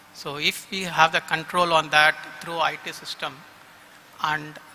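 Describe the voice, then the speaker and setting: A man talks at a moderate pace in a high pitch. Noticeable background noise sits under his voice. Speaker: company executive. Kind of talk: vote of thanks speech.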